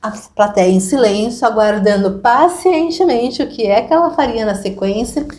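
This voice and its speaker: Pitch swings very widely in this voice, which holds a moderate pace. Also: woman. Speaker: Jungian psychotherapist hosting group therapy. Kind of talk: casual talk to an online group.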